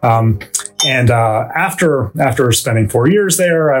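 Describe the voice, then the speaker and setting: Somewhat breathy, a man speaks with a Canadian accent. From Vancouver, Canada. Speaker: theoretical physicist, professor. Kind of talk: interview conversation. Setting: studio.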